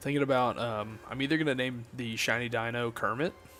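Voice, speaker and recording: Music plays behind a man speaking at a medium pitch. His tone is animated. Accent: Southern US. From US South. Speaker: gaming streamer. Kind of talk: casual live stream chat. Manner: casual, animated.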